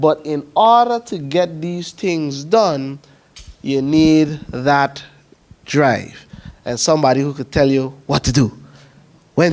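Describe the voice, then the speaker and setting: A man with a Sint Maarten accent talks at a fairly slow pace, with long, frequent pauses. His pitch is fairly high, with ordinary variation. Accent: Sint Maarten Caribbean English. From Sint Maarten, Dutch Quarter. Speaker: community council president. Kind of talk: presentation at information session. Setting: evening information session with audience.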